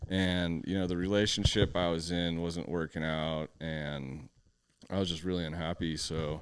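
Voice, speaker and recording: A man with an American accent speaks at a moderate pace. His very deep, low voice keeps a fairly even intonation. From Southern California (San Diego area). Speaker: podcast co-host, cannabis business owner. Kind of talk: casual interview chat. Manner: laid-back, many fillers.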